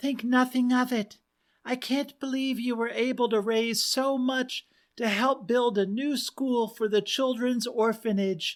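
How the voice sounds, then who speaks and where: At a fairly slow pace, a put-on character voice comes through a very clean recording with a silent background. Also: female-sounding voice, high pitch for a woman. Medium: read story. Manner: gentle, hesitant.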